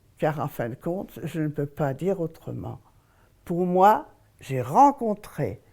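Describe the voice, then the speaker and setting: A woman with a fairly low pitch and a dark, mellow tone with vocal fry talks at a very slow pace, her pitch swinging very widely, on a very clean recording with a silent background. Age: 80s+. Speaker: elderly woman telling her life story. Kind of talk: testimony.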